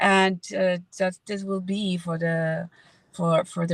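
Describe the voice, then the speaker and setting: A woman speaks at medium pitch with a Spanish accent, somewhat breathy and with fairly even intonation. The sound is dry and close, with no echo. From Mexico. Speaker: veterinarian turned online entrepreneur. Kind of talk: casual interview.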